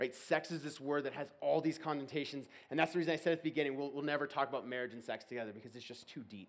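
An American-accented man talks at a very fast pace with hardly any pauses, his pitch fairly high with ordinary variation. His tone is animated, and his loudness swings widely. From Texas. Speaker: college ministry staff. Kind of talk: sermon. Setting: stage with audience. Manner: casual, filler-heavy.

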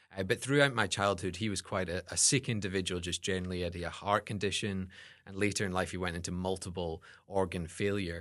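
Against a quiet background, a man with a Scottish accent talks very fast in a very deep, low pitch with fairly even intonation. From Scotland. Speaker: seminary student and academic advisor. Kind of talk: interview, personal testimony.

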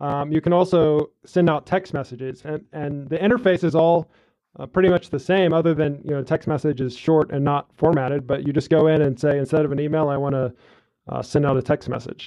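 This man's voice sits fairly high. His intonation stays fairly even. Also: fairly quick pace. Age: 30s. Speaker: podcast host. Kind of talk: interview.

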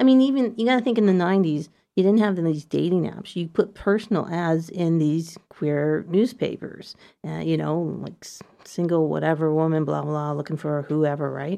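Big swings in loudness from a woman with a Canadian accent, a dark, mellow tone, a fairly low pitch and a moderate pace. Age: 50s. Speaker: community radio host. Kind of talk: casual chat. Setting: studio. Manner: animated.

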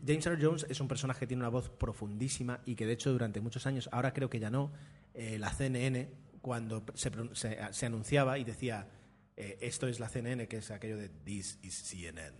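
Somewhat breathy, a man speaks at a medium pitch and moderate pace, his pitch varying in an ordinary way. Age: 30s. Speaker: podcast host. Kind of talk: casual chat. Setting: café.

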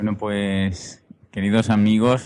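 In an ordinary speaking voice, a man speaks at a fairly low pitch with fairly even intonation. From Seville, Andalusia. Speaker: podcaster. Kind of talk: casual chat.

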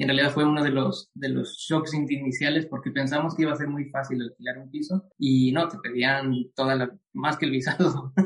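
With fairly level intonation, the speech moves along at a moderate speed. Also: man, fairly high pitch for a man. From Ecuador. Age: young. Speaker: immigrant professional sharing his story. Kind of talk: interview. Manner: halting, with frequent repetitions.

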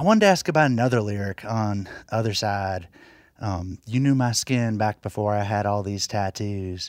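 A man with an American accent speaks in a plain, everyday voice at a fairly low pitch and a moderate pace. The recording is very clean, with a silent background. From Floyd County, Virginia. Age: 40s. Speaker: radio host. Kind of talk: scripted narration.

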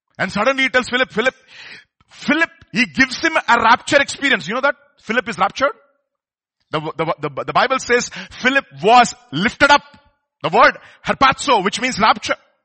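This man with a Telugu accent has an extremely high pitch and lively intonation, moving at a fairly quick pace broken by long, frequent pauses. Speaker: preacher. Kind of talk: sermon. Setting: church service.

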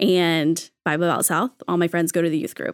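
In a very clean recording with a silent background and a dry, close sound with no echo, a woman with an ordinary speaking voice talks at a moderate pace and a fairly low pitch. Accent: American. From Texas. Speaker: children's ministry coordinator. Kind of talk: casual chat.

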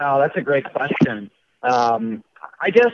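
A man's medium-pitched voice at a moderate pace. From Lake Zurich, Illinois, Chicago suburbs. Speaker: assistant general manager at a kart track. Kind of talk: casual interview chat.

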